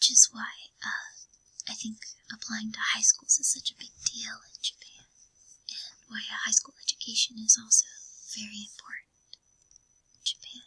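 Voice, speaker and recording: Someone whispers at a moderate pace with an American accent. Long pauses come frequently. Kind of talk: ASMR art book reading. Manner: soft-spoken, whispered.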